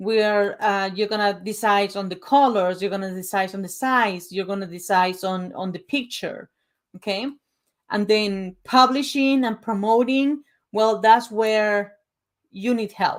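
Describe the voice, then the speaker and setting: On a very clean recording with a silent background, a woman with a Spanish accent speaks at a fairly slow pace with ordinary pitch variation. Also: medium pitch for a woman. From Uruguay. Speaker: author and book coach. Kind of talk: presentation / sales pitch. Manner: casual, conversational.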